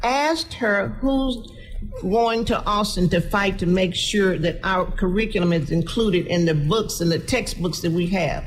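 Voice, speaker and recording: Against noticeable background noise, a woman with an American accent speaks at a fairly slow pace, her intonation lively and her loudness very even. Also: medium pitch for a woman. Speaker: city council member. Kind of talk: radio panel discussion.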